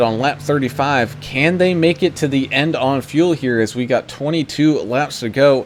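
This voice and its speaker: Music plays in the background as a man with a fairly high pitch talks at a moderate pace, with ordinary pitch variation. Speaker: sim racing commentator. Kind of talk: live commentary. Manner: loud.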